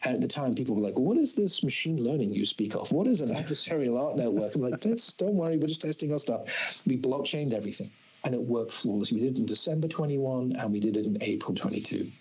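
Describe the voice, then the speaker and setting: A man with a fairly high voice talks at a very fast pace, hardly pausing, with lively intonation and very even loudness. Noticeable background noise and audible room echo surround him. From Isle of Man. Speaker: space company founder and CEO. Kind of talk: podcast interview. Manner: animated.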